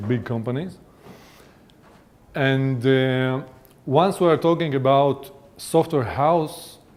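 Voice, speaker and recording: A man speaks at medium pitch with an Israeli accent and ordinary pitch variation. The recording is very clean, with a silent background. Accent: non-native English, Israeli-tinged. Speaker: venture capital investor. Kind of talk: conference presentation. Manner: hesitant, many fillers.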